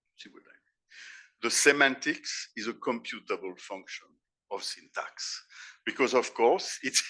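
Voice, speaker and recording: With long, frequent pauses and big swings in loudness, a man with a French accent speaks at a fairly slow pace. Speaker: professor and philosopher. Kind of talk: conference keynote lecture. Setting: conference stage with audience. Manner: halting, with repeated words and self-corrections.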